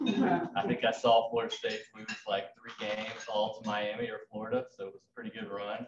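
There is noticeable background noise as a man speaks at a moderate pace. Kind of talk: club talk about his background. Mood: light, joking. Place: hall. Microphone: podium.

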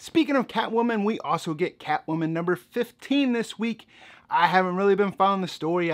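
Over a quiet background, the man rushes along at a very fast pace. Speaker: comic book reviewer. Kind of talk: commentary. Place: home room.

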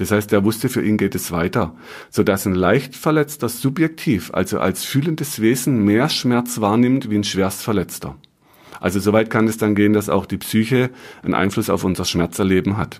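Here is a man with a fairly low pitch and a plain, everyday voice. He keeps a moderate pace with lively intonation. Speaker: muscle and health therapist, podcaster. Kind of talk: educational podcast monologue.

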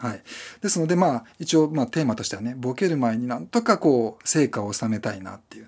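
Over a quiet background, a man speaks at a very fast pace with lively intonation. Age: 40s. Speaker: YouTuber and freelance video creator; YouTuber, freelance video creator. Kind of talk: casual solo talk to camera. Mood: reflective, self-deprecating. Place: home room.

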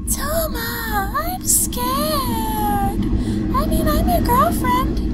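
Over faint background music, a female-sounding put-on character voice speaks at a very slow pace. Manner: sweet, ditzy.

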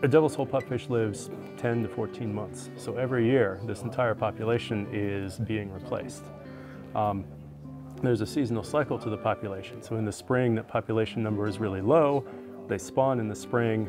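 At a fairly quick pace, a man speaks with ordinary pitch variation over clear music in the background. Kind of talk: interview answer. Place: open country. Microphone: lapel.

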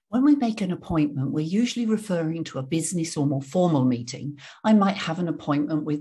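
With an English accent, a woman speaks fairly quickly at a very deep, low pitch, her voice dark, mellow and somewhat breathy, with lively intonation over a quiet background. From England. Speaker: English teacher. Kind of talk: tutorial. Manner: clear. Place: home room. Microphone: studio mic.

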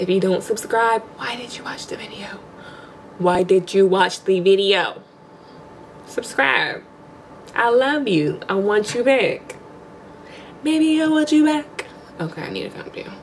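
A woman speaks with big swings in loudness and very wide pitch swings. Her long pauses come often, over light background noise. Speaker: vlogger. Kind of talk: casual vlog chat. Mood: cheerful, confident. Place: home room. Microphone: phone near.

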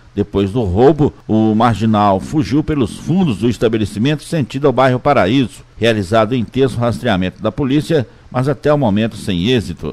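With hardly any pauses, a man speaks at a moderate pace and medium pitch in a normal speaking voice, his intonation lively and his loudness very even. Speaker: crime news reporter. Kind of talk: police news report.

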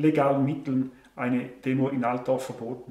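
With audible room echo, a man speaks in a Swiss accent, his fairly high voice flat and monotone. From Switzerland. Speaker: online show host; interview guest, show host. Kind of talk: interview answer. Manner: sarcastic, humorous. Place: home room.

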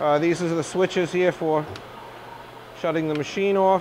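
Light background noise sits behind a man whose voice is high in pitch. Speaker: machine salesman demonstrator. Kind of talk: product walkthrough demonstration. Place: workshop.

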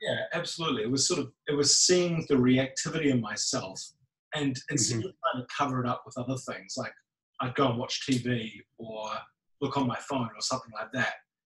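A man with a New Zealand accent talks at a fairly quick pace, his fairly high pitch showing ordinary variation. Room echo is audible. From New Zealand, Lower Hutt. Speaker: meditation group member. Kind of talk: casual chat. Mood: reflective, personal. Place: hall.

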